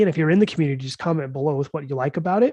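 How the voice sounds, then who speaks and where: This man's voice sits fairly high, with ordinary pitch variation, a dark, mellow tone and a somewhat breathy quality, recorded with a dry, close sound and no echo. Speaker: crypto market commentator. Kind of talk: livestream market update. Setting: live stream. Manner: casual, conversational.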